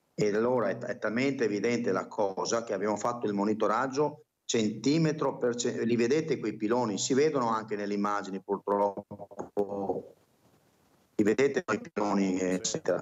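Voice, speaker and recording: At a moderate speed, a man speaks with pitch that varies in an ordinary way. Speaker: local government official; remote guest. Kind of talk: TV debate. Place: office. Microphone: video call.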